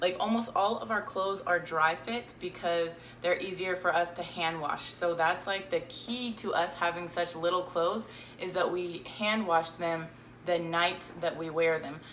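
At a moderate pace, the speech keeps a fairly even intonation over light background noise. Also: woman, fairly low pitch for a woman. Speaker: minimalism vlogger. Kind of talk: casual vlog chat. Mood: cheerful, relaxed. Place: home room. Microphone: phone near.

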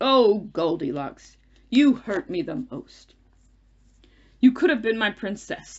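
A put-on character voice, croaky and fairly high in pitch, moves at a fairly slow pace. Long, frequent pauses break up the speech. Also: female-sounding voice. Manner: grandiose, old-fashioned, melodramatic.

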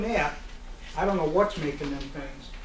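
A man's voice with fairly even intonation over noticeable background noise. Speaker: presenter. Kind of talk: informal talk to audience. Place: hall. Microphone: camera far.

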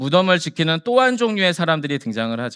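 A man talks with a fairly high pitch and a bright, sharp, animated tone. The recording is very clean, with a silent background. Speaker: pastor. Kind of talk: sermon.

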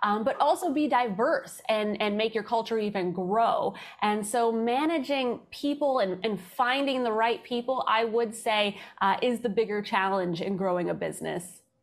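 A woman speaks with lively intonation at a moderate pace. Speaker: podcast guest. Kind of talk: interview answer.

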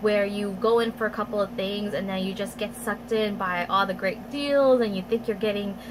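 A woman's fairly quick, fairly even delivery over noticeable background noise. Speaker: beauty vlogger. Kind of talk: casual haul vlog chat. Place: home room. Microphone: phone near.

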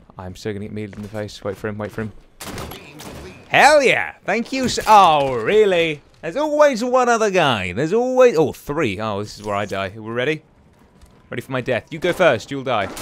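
Noticeable background noise sits behind the voice. The speaker shows very wide pitch swings and big swings in loudness. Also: man, fairly high pitch for a man, fairly quick pace. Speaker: gaming YouTuber. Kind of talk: live gameplay commentary. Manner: animated.

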